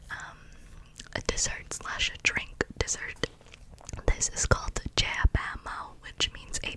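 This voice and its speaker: Noticeable background noise runs beneath a whispered voice. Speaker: ASMR creator. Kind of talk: ASMR personal attention roleplay.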